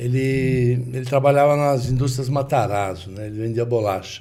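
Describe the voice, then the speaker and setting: A man with a medium-pitched, somewhat breathy voice and a dark, mellow tone speaks at a moderate pace. His intonation is fairly even, and audible room echo is present. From Brazil, São Paulo. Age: 70s. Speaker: businessman in car accessories trade. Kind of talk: interview storytelling.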